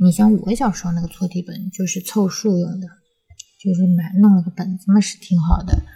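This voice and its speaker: A quiet woman at a medium pitch with monotone, flat intonation and a fairly quick pace. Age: middle-aged. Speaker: podcast host. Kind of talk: casual chat. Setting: home recording studio with baby present. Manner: hushed, speaking quietly.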